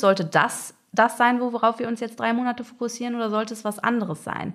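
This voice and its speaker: Her voice fairly high in pitch, a woman talks at a very fast pace. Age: 30s. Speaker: agile coach. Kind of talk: interview.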